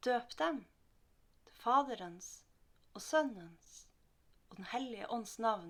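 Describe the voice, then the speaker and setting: A woman speaks at a very slow pace with a Northern Norwegian accent. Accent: Northern Norwegian dialect melody. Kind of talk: Bible reading.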